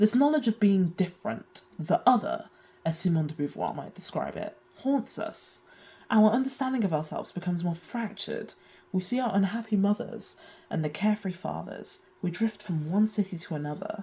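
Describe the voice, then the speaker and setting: Lively intonation marks this woman's British accent. Her tone is dark, mellow and somewhat breathy. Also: medium pitch for a woman, moderate pace. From UK. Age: 20s. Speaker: video essayist. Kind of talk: video essay narration.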